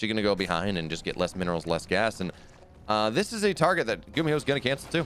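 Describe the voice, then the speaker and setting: There is vocal fry in this man's speech. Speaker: esports caster. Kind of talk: live commentary. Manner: animated.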